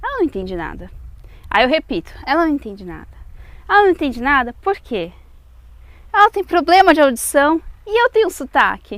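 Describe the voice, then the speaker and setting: A woman with a strong Brazilian accent and a high pitch, very wide pitch swings and big shifts in loudness, a fairly quick pace broken by long, frequent pauses. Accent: strong Brazilian accent when speaking French. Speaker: vlogger. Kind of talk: video outro; casual vlog storytelling.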